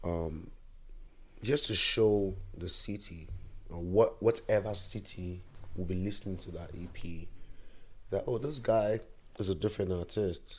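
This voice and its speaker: A man talks at a fairly slow pace with long, frequent pauses. His fairly low, somewhat breathy voice shows ordinary pitch variation. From Nigeria. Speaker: musician. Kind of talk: casual chat.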